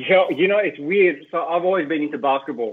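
A man speaks with an Australian accent. His pitch varies in an ordinary way. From Australia, Greek heritage. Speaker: sports journalist. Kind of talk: casual interview chat. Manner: animated.

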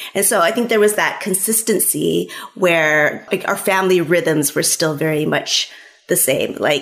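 A woman's ordinary speaking voice in an American accent, with lively intonation and a moderate pace. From California, US. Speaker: author. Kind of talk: interview.

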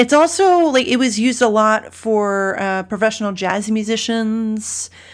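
A woman with a Mid-Atlantic American accent speaks fairly slowly in a fairly high voice with ordinary pitch variation. The recording is very clean, with a silent background. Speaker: podcast host.

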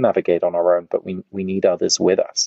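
A man with an English accent, at a fairly quick pace. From England. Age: 30s. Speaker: author and researcher. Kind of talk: interview.

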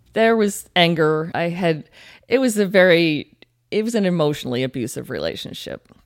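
With a plain, everyday voice, a woman speaks at a moderate pace with lively intonation and a fairly low pitch, in a very clean recording with a silent background. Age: 40s. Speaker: ultramarathon runner with MS. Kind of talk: interview.

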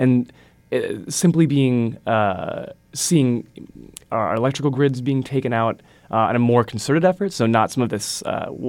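A man with an Upper Midwest accent and ordinary pitch variation. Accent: Upper Midwest American. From Wisconsin. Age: 20s. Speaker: university student, writer. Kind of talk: casual interview discussion. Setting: studio.

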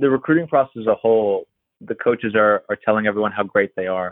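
The voice is a man's, at medium pitch, with an American accent. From Pennsylvania, Erie; teen years in Florida. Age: 30s. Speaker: college tennis coach. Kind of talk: interview.

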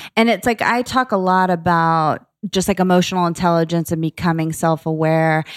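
In a very clean recording with a silent background, a woman with an American accent talks at a fairly quick pace in an unremarkable speaking voice, her pitch fairly low with ordinary variation and her loudness very even. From Florida. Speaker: entrepreneur, founder of a lifestyle brand. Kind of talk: casual interview conversation. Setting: studio.

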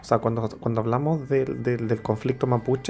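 Music plays in the background as a man speaks. His medium-pitched voice keeps a fairly even intonation. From Chile, Santiago. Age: 40s. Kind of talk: radio interview.

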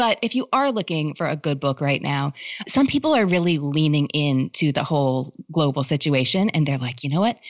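This woman's pitch is very deep and low. She uses lively intonation at a moderate pace. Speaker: author and book recommender. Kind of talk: casual chat. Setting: video call.

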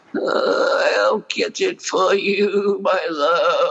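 A man speaks in a raspy, put-on character voice. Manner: sweet, affectionate.

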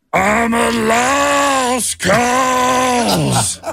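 A man's put-on character voice, extremely high-pitched, raised and projected, strained and guttural

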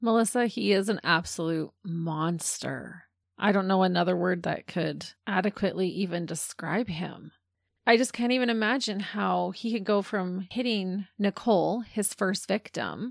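In a quiet background, a woman with a plain, everyday voice speaks at a moderate pace, medium in pitch with ordinary variation. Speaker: true crime podcast co-host. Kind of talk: casual chat.

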